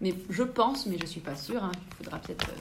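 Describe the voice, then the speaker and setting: Over noticeable background noise and audible room echo, a woman talks at a fairly quick pace in a medium pitch. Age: 20s. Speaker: architect. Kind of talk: interview. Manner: explanatory, simple words for children.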